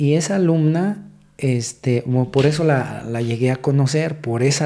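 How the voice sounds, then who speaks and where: With a dark, mellow tone, a man talks at a fairly slow pace and medium pitch, using ordinary pitch variation. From Mexico City. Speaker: police officer. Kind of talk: casual interview. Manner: halting.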